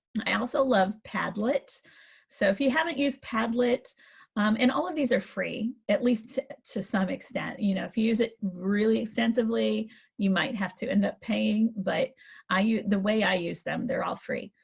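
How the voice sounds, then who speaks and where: Her pitch fairly high with ordinary variation, a woman speaks with vocal fry. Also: moderate pace. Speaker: art teacher. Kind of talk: webinar presentation.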